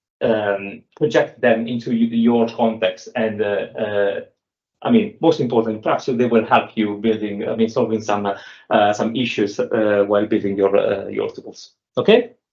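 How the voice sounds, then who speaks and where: This man speaks in an Italian accent. He keeps a moderate pace. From Italy. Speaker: software developer. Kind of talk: technical talk. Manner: halting, many fillers.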